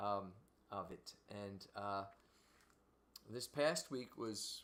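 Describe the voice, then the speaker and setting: Speaking in a Philadelphia accent, a man has a fairly low pitch. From Philadelphia, US. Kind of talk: casual chat. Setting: livestream. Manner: halting.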